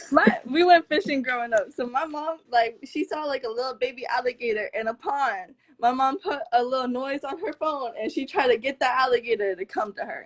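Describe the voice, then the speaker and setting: A woman with a Florida accent talks fairly quickly, with hardly any pauses. Her high voice has lively intonation. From South Florida. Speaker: blogger and interviewer. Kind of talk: casual interview chat.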